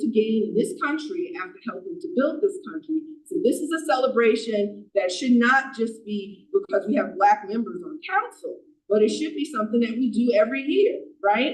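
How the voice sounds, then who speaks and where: Loud and high-pitched, a woman speaks at a moderate pace with very wide pitch swings. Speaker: borough council member. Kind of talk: council meeting debate.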